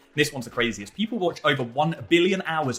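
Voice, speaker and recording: A man talks at a very fast pace with lively intonation over noticeable background noise. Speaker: online marketing coach. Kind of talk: tutorial.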